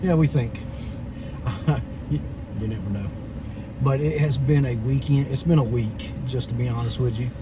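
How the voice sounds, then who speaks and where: A man with an American accent speaks over noticeable background noise, with audible echo from the room. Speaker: vlogger. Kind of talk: casual chat. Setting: outdoors.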